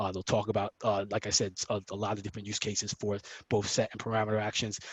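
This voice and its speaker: A man's fairly low, somewhat breathy voice at a very fast pace, in monotone, flat intonation. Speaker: software trainer presenting at a user group. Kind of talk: tutorial.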